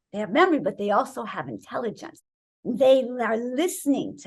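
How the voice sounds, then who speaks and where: Speaking at a moderate pace, a woman with a fairly high pitch sounds animated, with vocal fry in her voice. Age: 60s. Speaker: wellness author, raw vegan doctor. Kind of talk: interview.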